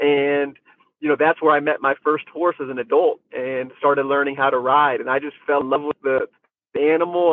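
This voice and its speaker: Speaking fairly quickly with an American accent, a man holds a flat, monotone delivery in a fairly high voice. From United States. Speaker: horse rider and trainer. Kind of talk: interview. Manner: casual.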